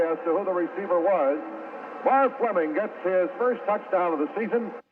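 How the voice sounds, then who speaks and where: Lively intonation at a fairly quick pace, with noticeable background noise. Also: man. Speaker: sports radio announcer. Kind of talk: radio play-by-play commentary. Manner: fast, excited.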